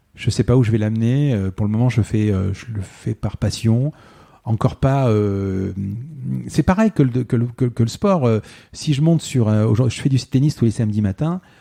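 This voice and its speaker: In a very clean recording with a silent background, a man talks in a dark, mellow tone with ordinary pitch variation and a dry, close sound with no echo. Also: medium pitch for a man, moderate pace. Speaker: podcast host, former photographer. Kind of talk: interview as guest, casual conversation. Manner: hesitant, stammering; many fillers and repetitions.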